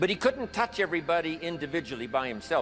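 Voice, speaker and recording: Music plays behind a man talking very fast. His pitch is fairly high. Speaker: motivational speaker. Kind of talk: motivational speech.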